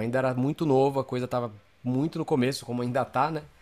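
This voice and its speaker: A man's medium-pitched voice, very fast and monotone, with flat intonation. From Brazil, São Paulo. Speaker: creative director and designer. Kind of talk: interview conversation.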